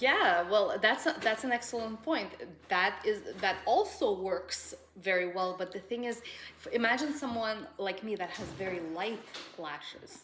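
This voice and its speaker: A woman's fairly high voice at a moderate pace, with lively intonation and noticeable background noise. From Russian background. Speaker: lash extension business owner. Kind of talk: casual chat.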